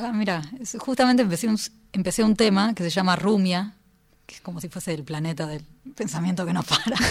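A woman speaks at a fairly quick pace with ordinary pitch variation and big swings in loudness. Long, frequent pauses break her speech, and there is noticeable background noise. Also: medium pitch for a woman. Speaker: composer and pianist. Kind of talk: casual radio interview. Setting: radio studio.

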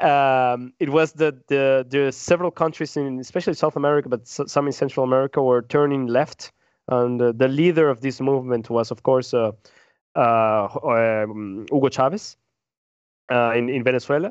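Recorded dry and close with no echo against a quiet background, a man speaks with a Spanish accent and ordinary pitch variation. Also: medium pitch for a man, moderate pace. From Peru. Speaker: podcast co-host. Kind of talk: casual discussion. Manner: halting, frequent repetitions.

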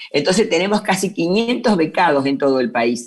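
A woman's fairly low voice in a Rioplatense accent, with very wide pitch swings at a moderate pace. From Buenos Aires, Argentina. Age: 60s. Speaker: NGO president. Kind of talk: interview.

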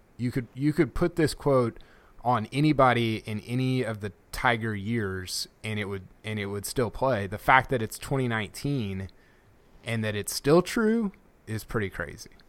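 Moderate pace and ordinary pitch variation from a man of medium pitch, an ordinary speaking voice. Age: 30s. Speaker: podcast host and golf writer. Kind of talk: casual chat. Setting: video call.

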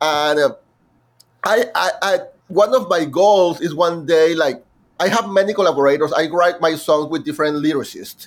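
Speaking with a Mexican accent, a man with a high pitch keeps a moderate pace and ordinary pitch variation. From Mexico. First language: Spanish. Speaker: musical theatre composer. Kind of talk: interview. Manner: halting.

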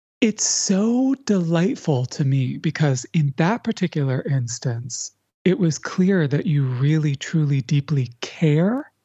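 A woman speaks at a very slow pace with hardly any pauses, in a very deep, low pitch with very wide pitch swings. Her tone is warm, calm, dark and mellow, somewhat breathy, with very even loudness. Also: quiet background. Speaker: author and educator. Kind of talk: casual interview chat. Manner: warm, calm, reflective.

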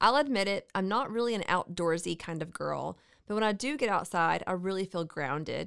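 A woman talks at a fairly quick pace in an American accent, with a medium pitch and ordinary pitch variation. It is an unremarkable speaking voice, captured in a very clean recording against a silent background. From Central Texas. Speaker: podcast host. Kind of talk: casual chat.

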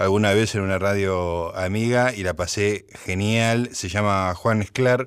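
This is a very clean recording with a silent background. A man speaks at a fairly slow pace, fairly low in pitch with ordinary pitch variation. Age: 60s. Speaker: radio host. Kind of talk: radio talk show. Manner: halting.

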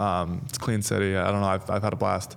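A man talks in a normal speaking voice at a fairly low pitch. His pace is fairly quick. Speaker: professional hockey player. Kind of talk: casual interview.

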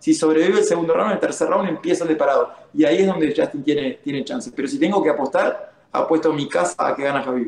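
A very fast-talking man with a Rioplatense accent, over noticeable background noise. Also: hardly any pauses. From Uruguay. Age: 30s. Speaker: MMA fighter. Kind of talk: casual chat.

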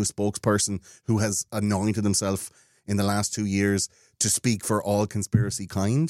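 Someone with an Irish accent talks at a moderate pace, the sound dry and close with no echo, on a very clean recording with a silent background. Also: man. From Ireland. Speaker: podcast host, conspiracy show. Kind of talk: casual chat.

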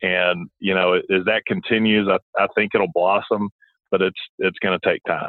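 A man with a Southern US accent speaks at a moderate pace and a very even loudness. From Alabama, Montgomery. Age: 30s. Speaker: former college basketball player, sports commentator. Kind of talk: phone interview.

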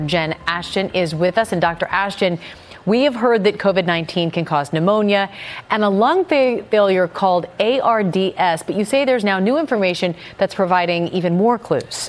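This woman has a plain, everyday voice. She talks at a moderate pace. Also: very even loudness. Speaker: news host. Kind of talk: live TV-style news interview. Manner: polished, brisk, formal.

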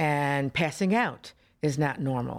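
With an American accent, a woman speaks at a fairly slow pace with ordinary pitch variation on a very clean recording with a silent background. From Florida, US South. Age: 60s. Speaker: patient. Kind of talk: testimony. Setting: studio.

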